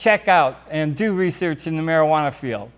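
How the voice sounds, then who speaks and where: The speaker is a man. The recording is very clean against a silent background. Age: 60s. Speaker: cannabis activist and show co-host. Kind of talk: impassioned advocacy monologue. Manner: animated, emphatic.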